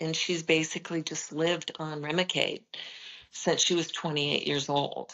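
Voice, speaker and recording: In an American accent, a woman speaks with a very deep, low pitch and monotone, flat intonation. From Nebraska, US Midwest. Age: 70s. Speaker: holistic nutrition expert. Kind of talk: interview conversation.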